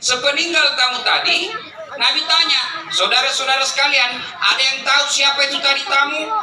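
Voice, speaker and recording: A man's raised, projected voice at an extremely high pitch, very even in loudness, with audible room echo and noticeable background noise. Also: fairly quick pace. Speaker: Islamic preacher. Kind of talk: sermon. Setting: public religious gathering with PA system. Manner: animated storytelling.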